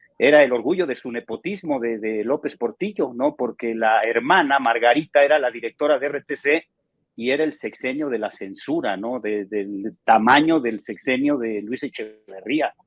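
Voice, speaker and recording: A man talks at a moderate pace with a plain, everyday voice. His pitch is medium, with ordinary variation. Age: 60s. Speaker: sports journalist. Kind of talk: interview.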